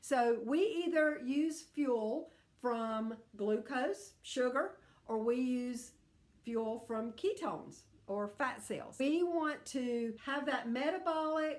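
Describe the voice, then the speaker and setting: A woman with a high pitch at a very slow pace. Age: 60s. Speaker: health coach. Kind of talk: tutorial. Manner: animated.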